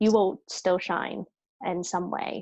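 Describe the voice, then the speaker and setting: A woman speaks with a British accent. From Hong Kong. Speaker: actress. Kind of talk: interview.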